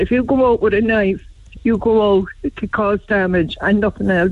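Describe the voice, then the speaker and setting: In a Cork accent, a woman speaks at a fairly high pitch with ordinary pitch variation. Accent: Cork Irish. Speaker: caller. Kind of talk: radio phone-in. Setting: phone call.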